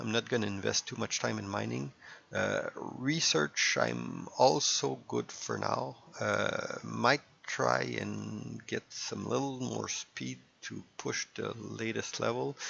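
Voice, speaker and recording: A man with a slight French Canadian accent, at a very slow pace. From Quebec. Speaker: gaming YouTuber. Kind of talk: casual gameplay commentary. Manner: halting, many fillers.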